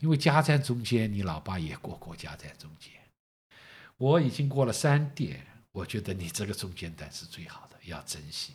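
A somewhat breathy, fairly low male voice at a moderate pace, with very wide pitch swings and big swings in loudness. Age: 60s. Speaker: host's father. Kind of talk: casual chat.

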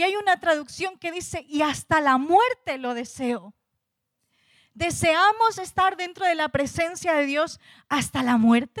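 A woman with an extremely high pitch talks at a fairly slow pace with lively intonation. The sound is dry and close, with no echo. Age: 30s. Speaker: preacher. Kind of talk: sermon.

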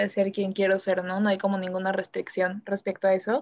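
A woman is speaking. Her pitch is medium. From Mexico City. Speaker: architecture student. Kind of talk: panel discussion. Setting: remote recording from home.

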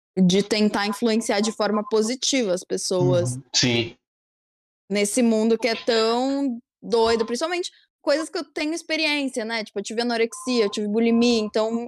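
A woman with a plain, everyday voice, fairly high pitch and a moderate pace, in a dry, close sound with no echo and a very clean recording with a silent background. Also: ordinary pitch variation. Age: 20s. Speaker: youtuber. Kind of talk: casual chat.

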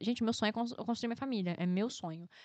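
Against a quiet background, a woman's voice comes across dry and close, with no echo. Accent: Rio de Janeiro. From Rio de Janeiro, Brazil (Guadalupe). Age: 20s. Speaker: agronomy student. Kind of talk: casual interview.

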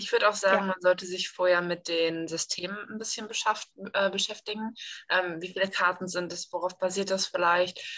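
A woman talks at a moderate pace and medium pitch. Her intonation is flat and monotone. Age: 20s. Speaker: online community admin. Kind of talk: casual chat.

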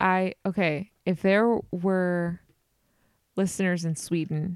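A woman at a very slow pace, fairly even intonation, dry, close sound with no echo. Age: 30s. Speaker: podcast co-host. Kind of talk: casual chat.

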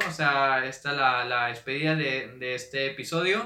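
This man's voice sits at medium pitch. His intonation is fairly even. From Mexico, Monterrey, Nuevo León. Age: 20s. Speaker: podcast host and entrepreneur. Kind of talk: solo podcast monologue. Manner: hesitant, many fillers.

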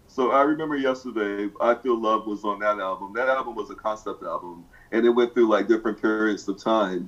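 The man's voice sits at a medium pitch with fairly even intonation. He moves at a fairly quick pace with hardly any pauses. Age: 50s. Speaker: music enthusiast. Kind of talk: casual chat. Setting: video call. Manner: halting.

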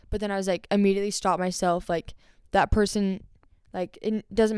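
In a Utah accent, a woman talks at a fairly quick pace and medium pitch. Her intonation stays monotone and flat. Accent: American (Utah). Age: young. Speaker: poet and musician. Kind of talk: casual chat. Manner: many fillers and restarts.

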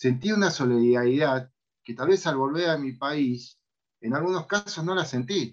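At a fairly slow pace, a man with an Argentine accent speaks in a fairly high pitch. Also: ordinary pitch variation. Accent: Rioplatense Argentine Spanish. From Argentina, Buenos Aires city. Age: 50s. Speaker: podcast host. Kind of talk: casual chat.

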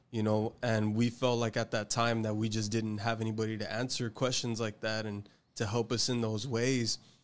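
Monotone, flat-intoned man's voice with an American accent and hardly any pauses, on a very clean recording with a silent background. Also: medium pitch for a man, moderate pace. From Texas, Rio Grande Valley. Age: 20s. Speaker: podcast co-host, Bible college graduate. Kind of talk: faith testimony.

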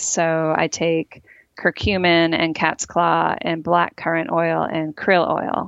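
A woman speaks with an ordinary speaking voice. Her pitch is fairly low and her intonation fairly even. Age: 40s. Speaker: health writer and podcast host. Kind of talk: interview.

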